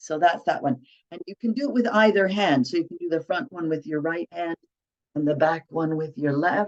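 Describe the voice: A woman speaks at a moderate pace in a low pitch, her tone slightly mellow and her pitch varying in an ordinary way.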